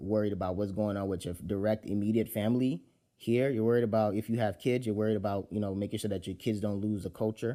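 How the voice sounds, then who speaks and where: Talking at a very fast pace, a man keeps fairly even intonation in a dark, mellow tone. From Nigeria. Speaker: podcast host. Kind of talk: casual solo podcast talk. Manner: repetitive, halting with fillers.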